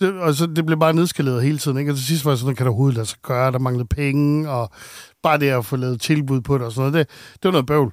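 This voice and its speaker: Very rapid male speech, very clean recording, silent background. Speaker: radio host. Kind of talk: casual chat.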